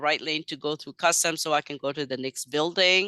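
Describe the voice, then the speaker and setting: Speaking at a moderate pace with a non-native accent, a woman has a fairly low pitch and a bright, sharp tone over a quiet background. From Madagascar, Chinese family. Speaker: ESL teacher. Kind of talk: interview. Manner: halting.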